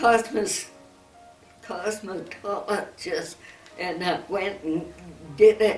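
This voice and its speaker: Music plays in the background while a woman speaks. Her fairly high voice moves at a very slow pace. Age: 80s+. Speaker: centenarian interviewee. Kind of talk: interview answer.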